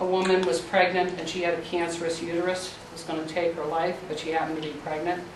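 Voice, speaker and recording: A woman speaks in a fairly low voice with fairly even intonation. Noticeable background noise and audible room echo surround her. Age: 60s. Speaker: pro-life educator. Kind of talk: Q&A with students.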